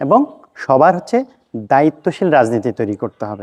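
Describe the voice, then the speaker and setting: Dry and close with no echo, a man's voice comes through with a dark, mellow tone. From Bangladesh, Noakhali (Chatkhil). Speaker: parliamentary candidate. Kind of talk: campaign statement. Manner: halting.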